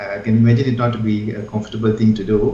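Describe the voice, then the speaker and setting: Fairly quick speech from a man, set against noticeable background noise. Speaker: urologist, guest doctor. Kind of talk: medical explanation in interview answer. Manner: soft-spoken, kind, explanatory.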